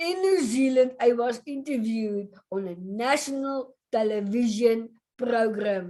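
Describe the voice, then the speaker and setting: With lively intonation and high pitch, a woman speaks at a fairly slow pace. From South Africa. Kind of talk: prepared presentation.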